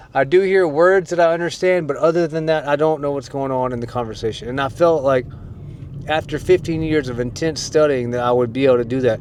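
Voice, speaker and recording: Noticeable background noise surrounds a man talking at a very fast pace. His pitch is fairly high, with ordinary variation. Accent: American. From United States. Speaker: YouTuber / language learner. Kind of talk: casual vlog monologue. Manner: casual, hesitant.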